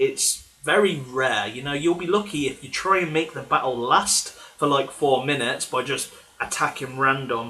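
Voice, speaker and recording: A man's fairly high voice with an English accent and ordinary pitch variation, over noticeable background noise. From England. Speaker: gaming channel host. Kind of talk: live stream Q&A chat.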